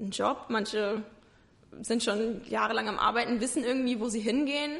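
The woman talks at a moderate pace. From Rhineland-Palatinate, Germany (Ingelheim near Mainz). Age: 20s. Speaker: interview guest sharing mental health experience. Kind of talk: casual interview. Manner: hesitant, many fillers.

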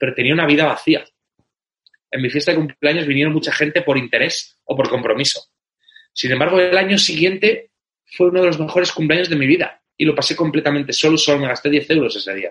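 At a very fast pace, a man speaks with fairly high pitch and ordinary pitch variation. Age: 30s. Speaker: business coach and entrepreneur mentor. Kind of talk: interview.

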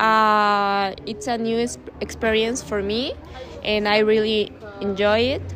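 With music in the background and audible room echo, a woman speaks very slowly in a Spanish accent, at a fairly high pitch with fairly even intonation. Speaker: student. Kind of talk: interview. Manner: halting, hesitant.

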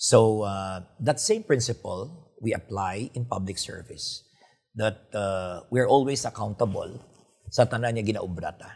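Speaking slightly breathily with a Filipino accent, a man talks at a fairly slow pace, a medium pitch, and ordinary pitch variation. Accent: Filipino (Hiligaynon) English. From Philippines, Iloilo province. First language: Hiligaynon. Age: 50s. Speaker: doctor and politician. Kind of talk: interview. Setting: hotel studio. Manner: hesitant, many fillers.

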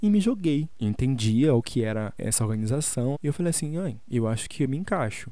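A man with a Bahian accent speaks at a medium pitch and fairly quick pace, his tone dark and mellow with ordinary pitch variation. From Salvador, Bahia, Brazil. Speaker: podcast host, artist. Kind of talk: personal monologue podcast. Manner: animated.

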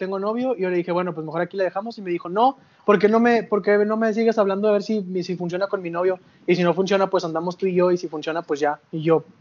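Over noticeable background noise, a man talks at a very fast pace in a high voice with fairly even intonation. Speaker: podcast co-host. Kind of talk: casual chat.

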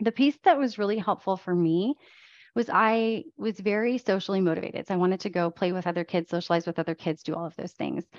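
A woman with an American accent at a medium pitch and a very fast pace. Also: ordinary pitch variation. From Croatia, moved to US as young child. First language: Croatian. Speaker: tech executive and education board member. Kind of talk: interview.

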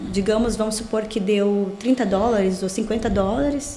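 A woman speaks at a very slow pace amid noticeable background noise and audible room echo. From southern Brazil, Rio Grande do Sul (Portão). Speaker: pastor and mentor for women. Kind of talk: casual interview chat.

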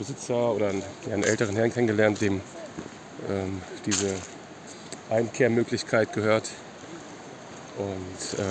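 Against noticeable background noise, a man with a fairly low pitch speaks at a moderate pace in monotone, flat intonation, with long, frequent pauses. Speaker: podcast co-host. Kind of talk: casual chat while hiking. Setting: outdoors on a mountain trek. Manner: halting, hesitant.

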